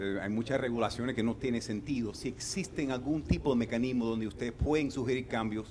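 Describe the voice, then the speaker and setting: Speaking at a fairly quick pace, the man has a medium pitch and a dark, mellow tone. His intonation stays fairly even. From Canada. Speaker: audience member. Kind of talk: audience question.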